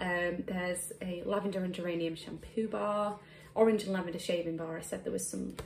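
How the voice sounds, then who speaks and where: A woman is heard with audible room echo. Noticeable background noise fills the recording. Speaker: beauty blogger and YouTuber. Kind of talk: product unboxing review. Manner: casual, with frequent fillers.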